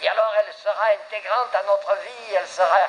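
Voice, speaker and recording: The man talks fairly slowly. Behind him, background noise is noticeable. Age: 70s. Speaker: pastor. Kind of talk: sermon.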